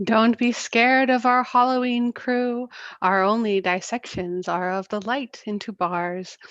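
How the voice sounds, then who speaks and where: A woman's ordinary speaking voice, fairly high and fairly slow, with lively intonation over a quiet background. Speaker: astronomer. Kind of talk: rhyming Halloween show introduction.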